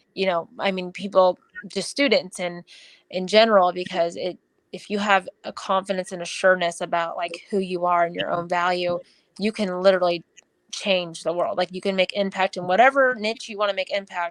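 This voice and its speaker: A plain, everyday voice at a fairly quick pace with fairly even intonation, a dry, close sound with no echo, and a quiet background. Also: woman, medium pitch for a woman. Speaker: running coach. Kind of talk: podcast interview.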